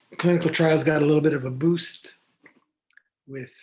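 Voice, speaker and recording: A man in an American accent, somewhat breathy, with monotone, flat intonation. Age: 70s. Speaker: physician. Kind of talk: interview.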